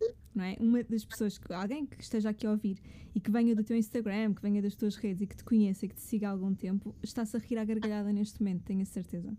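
Somewhat breathy and dark, mellow in tone, a woman rushes along at a very fast pace in a monotone, flat delivery. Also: medium pitch for a woman. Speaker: podcast host. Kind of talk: casual interview; scripted narration.

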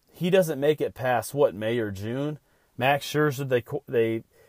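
An unremarkable speaking voice with ordinary pitch variation comes through dry and close with no echo. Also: man. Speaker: sports podcast host. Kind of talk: solo podcast monologue. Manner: casual, with filler words.

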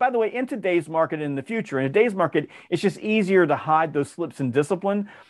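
A man with an American accent talks very fast, high in pitch and with lively intonation. The recording is very clean, with a silent background. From US South, Georgia. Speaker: sales author and trainer. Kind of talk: interview.

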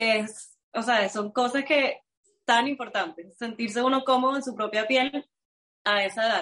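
A woman speaks in a fairly high pitch. Her tone is bright and sharp. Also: fairly slow pace. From Venezuela. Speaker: astrologer. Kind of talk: interview. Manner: animated.

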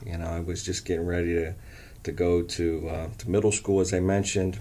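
A man with a very deep, low pitch and a dark, mellow, somewhat breathy tone speaks at a moderate pace with ordinary pitch variation and audible room echo. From Canton, Ohio (US Midwest). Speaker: college coach and former teacher. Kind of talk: interview. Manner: halting, many fillers.

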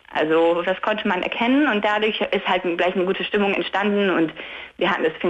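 A woman rattles along very quickly with ordinary pitch variation while noticeable background noise runs behind her. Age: 20s. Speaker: caller. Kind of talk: phone-in chat. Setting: phone call from bed.

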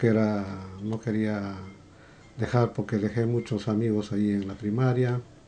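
A man talks at a medium pitch with a dark, mellow tone. His pace is fairly slow. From Peru, Cusco region. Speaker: podcast guest, father of co-host. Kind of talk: interview, life story.

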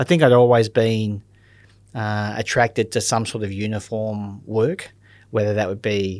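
Against a silent background in a very clean recording, a man with an Australian accent talks at a moderate pace and a fairly low pitch. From Australia, Melbourne. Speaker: critical care paramedic. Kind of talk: interview. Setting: studio.

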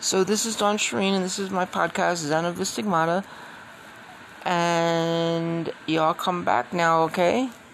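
Her pitch is fairly low and her pace fairly slow. Noticeable background noise runs under this woman's voice. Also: ordinary pitch variation. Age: 50s. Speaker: podcaster. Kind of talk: casual monologue.

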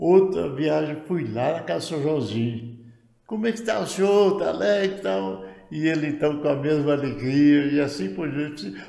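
A man talks at a moderate pace with a fairly high pitch and very wide pitch swings. Room echo is audible. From Goiás, central Brazil. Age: 80s+. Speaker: retired pioneer pastor. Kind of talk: interview testimony.

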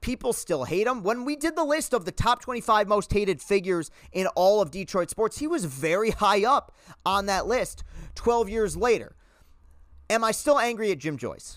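On a very clean recording with a silent background, a man with a high pitch talks at a moderate pace in an animated tone, his pitch swinging very widely. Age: 20s. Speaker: sports podcast host. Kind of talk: solo sports commentary.

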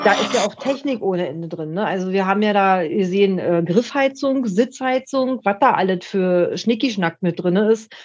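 A woman with an ordinary speaking voice, medium pitch, moderate pace and lively intonation. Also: hardly any pauses. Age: 50s. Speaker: motorcyclist. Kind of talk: casual chat.

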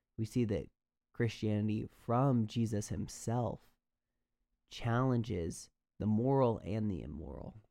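With an American accent, a man talks at a fairly slow pace with long, frequent pauses, his fairly low, dark, mellow voice showing ordinary pitch variation in a very clean recording with a silent background. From US Midwest. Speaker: podcast host, college student. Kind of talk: solo podcast commentary.

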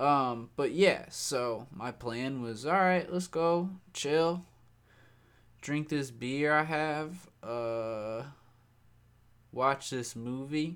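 Pitched fairly high, a man speaks at a very slow pace with ordinary pitch variation. Long, frequent pauses break up his speech. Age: 20s. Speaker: solo podcaster. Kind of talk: casual monologue.

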